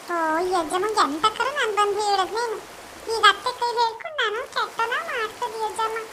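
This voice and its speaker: A woman does a cartoonish character voice at an extremely high pitch and a moderate pace. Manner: coaxing.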